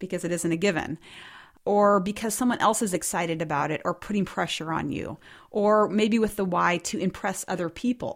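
This woman has a plain, everyday voice at medium pitch, with ordinary pitch variation. She speaks at a fairly quick pace on a very clean recording with a silent background. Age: 40s. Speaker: running podcast co-host and coach. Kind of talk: casual chat.

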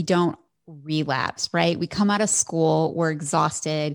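In a very clean recording with a silent background, a woman with a normal speaking voice talks at a moderate pace with ordinary pitch variation. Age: 30s. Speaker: functional medicine physician. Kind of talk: interview.

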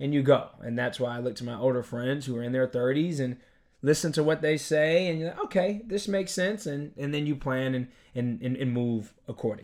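A man with an unremarkable speaking voice talks at a fairly quick pace, his fairly high pitch carried by lively intonation. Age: 20s. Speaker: podcast co-host. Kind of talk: casual chat.

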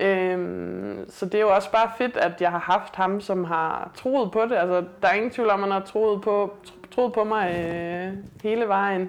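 Fairly slow, fairly even speech from a woman, medium in pitch, in an unremarkable speaking voice. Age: 30s. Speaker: weightlifter and police officer. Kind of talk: casual interview. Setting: host's apartment.

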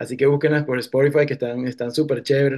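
Very fast delivery in a monotone, flat intonation. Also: man. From eastern Venezuela, Cumaná. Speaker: musician. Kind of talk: interview. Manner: halting.

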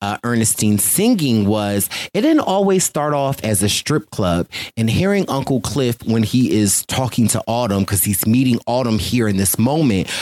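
A man with an American accent and an unremarkable speaking voice talks at a medium pitch and a moderate pace, his intonation lively and his loudness very even. The recording is very clean, with a silent background and a dry, close sound with no echo. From Philadelphia. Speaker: podcast host. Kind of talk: interview; casual chat.

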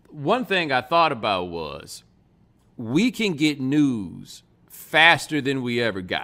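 The man's voice is animated, with lively intonation and a bright, sharp tone. The recording is very clean, with a silent background. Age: 40s. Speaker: podcast host. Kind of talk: casual chat.

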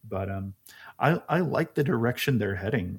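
A somewhat breathy man with an American accent, fairly quick pace and ordinary pitch variation, on a very clean recording with a silent background. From US South, Alabama. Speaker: soccer podcast co-host. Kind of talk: casual chat.

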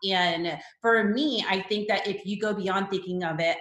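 Audible room echo is present. A woman speaks at a moderate pace with ordinary pitch variation. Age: 30s. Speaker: wedding photographer and educator. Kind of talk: podcast interview.

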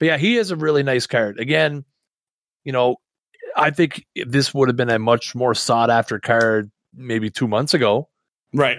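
Delivered at a moderate pace with ordinary pitch variation and long, frequent pauses, the speech has a dry, close sound with no echo. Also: man, medium pitch for a man. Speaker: podcast co-host, gamer and streamer. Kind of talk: casual chat podcast about a video game.

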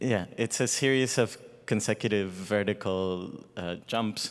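A man with a Spanish accent talks at a very slow pace. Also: very clean recording, silent background. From Mexico (Guadalajara). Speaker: ballet dancer. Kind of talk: onstage interview. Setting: stage with live audience.

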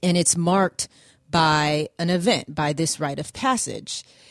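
Using a plain, everyday voice, a woman speaks at a fairly low pitch and fairly slow pace, recorded dry and close with no echo. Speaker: radio show host. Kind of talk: casual talk radio monologue on self-improvement. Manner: friendly, conversational.

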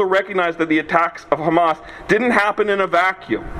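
A man with a high pitch speaks at a very fast pace over noticeable background noise. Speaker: law student. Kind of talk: formal rally speech. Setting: outdoor rally with crowd. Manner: formal, measured, legalistic.

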